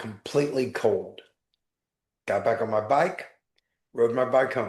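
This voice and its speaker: A man with an American accent speaks in a normal speaking voice at a fairly slow pace, medium in pitch with ordinary pitch variation. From Texas, Galveston. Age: 60s. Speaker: life coach and author, former attorney. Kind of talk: personal testimony in interview.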